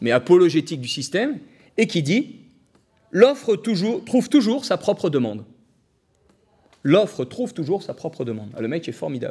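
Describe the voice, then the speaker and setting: Loud and animated, a man talks at a moderate pace with very wide pitch swings. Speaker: economist lecturer. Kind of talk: public lecture. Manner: animated, hesitant with fillers.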